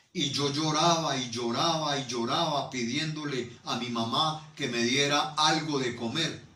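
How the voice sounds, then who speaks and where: A man speaks at a fairly high pitch and fairly slow pace, with hardly any pauses and fairly even intonation. Noticeable background noise and audible room echo surround his voice. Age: 60s. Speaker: pastor. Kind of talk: sermon.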